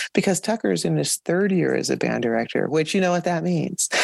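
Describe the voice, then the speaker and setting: She speaks at a fairly quick pace. The voice is a woman's. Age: 50s. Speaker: podcast host, veteran band director. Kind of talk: podcast interview.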